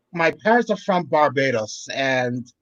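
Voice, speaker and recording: Here a man speaks with an American accent. His intonation is lively and his pace fairly slow. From Boston, US. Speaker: panel guest. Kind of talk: casual chat.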